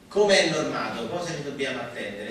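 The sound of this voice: Audible room echo surrounds a man's voice. His tone is fairly bright, with ordinary pitch variation.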